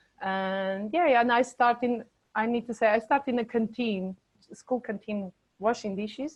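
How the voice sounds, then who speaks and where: A woman with a Portuguese accent, fairly high in pitch, at a moderate pace and with ordinary pitch variation. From Portugal, Bragança. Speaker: charity worker for the homeless. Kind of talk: interview. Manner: halting.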